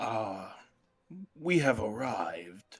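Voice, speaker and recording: A man's raspy, put-on character voice at medium pitch. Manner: purposely altered voice.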